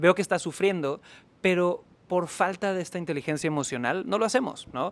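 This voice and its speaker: A man speaks at a fairly quick pace in a high voice with ordinary pitch variation. The recording is very clean, with a silent background. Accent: Mexican. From Mexico, Cancún. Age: 30s. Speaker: sales trainer. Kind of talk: interview.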